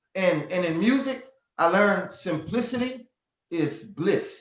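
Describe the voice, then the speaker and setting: A man speaks in a high pitch with an American accent and an animated tone. Audible room echo surrounds the recording. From Louisiana, Lafayette. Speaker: southern soul singer. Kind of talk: interview. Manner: animated, repetitive stammering.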